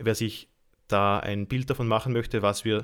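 A man's fairly low, monotone voice with flat intonation and an Austrian accent, on a very clean recording with a silent background. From Austria, Lower Austria. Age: 20s. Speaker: institute director and trainer. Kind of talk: casual interview.

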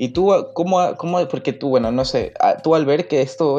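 With an unremarkable speaking voice, a man speaks at a fairly quick pace with ordinary pitch variation. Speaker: podcast host. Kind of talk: casual interview.

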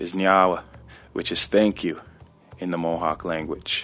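A man's very deep, low voice, with fairly even intonation and a moderate pace. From Six Nations, Ontario, Canada. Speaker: musician. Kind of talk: personal testimony.

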